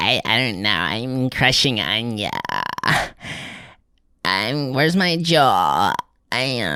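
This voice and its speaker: A put-on character voice moves at a very slow pace with lively intonation. Long, frequent pauses break up the speech. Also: man, medium pitch for a man. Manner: mumbling, lazy, dopey.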